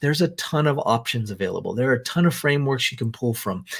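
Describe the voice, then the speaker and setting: Somewhat breathy male voice with ordinary pitch variation. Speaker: business coach. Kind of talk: online business presentation. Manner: animated.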